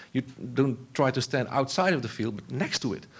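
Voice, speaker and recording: With a Dutch accent, a man talks at a very fast pace in a medium pitch. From Netherlands. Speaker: philosopher of technology. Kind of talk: conference talk. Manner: halting.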